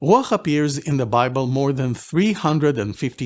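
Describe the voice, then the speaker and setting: In a very clean recording with a silent background, a man with an Israeli accent speaks at a fairly high pitch. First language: Hebrew. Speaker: Bible language teacher. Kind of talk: lecture. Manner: formal.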